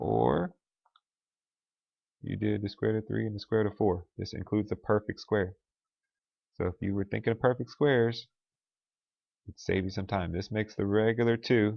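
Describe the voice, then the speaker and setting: A man talks at a fairly low pitch, leaving long, frequent pauses. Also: ordinary pitch variation. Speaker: math teacher. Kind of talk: lecture. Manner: fast.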